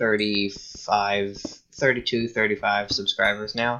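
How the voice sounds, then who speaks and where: A man speaks at a fairly slow pace. His pitch sits at a medium level. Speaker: gaming youtuber. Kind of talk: gameplay commentary. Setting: at home alone at night. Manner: halting, many fillers and restarts.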